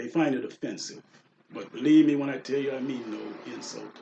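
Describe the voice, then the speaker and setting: At a moderate pace, a man speaks. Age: 60s. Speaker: pastel portrait artist. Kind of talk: reading aloud a prepared announcement. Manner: read from a script.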